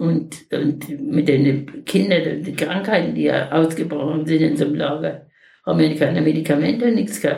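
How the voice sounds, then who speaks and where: Her pitch very deep and low, a woman talks fairly slowly. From Lower Silesia. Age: 80s+. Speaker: wartime refugee, eyewitness. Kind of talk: oral history interview. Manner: halting.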